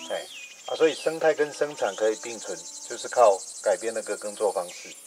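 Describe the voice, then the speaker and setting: A man talks at a fairly quick pace with light background noise behind him. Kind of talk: casual chat. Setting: outdoors. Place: open country.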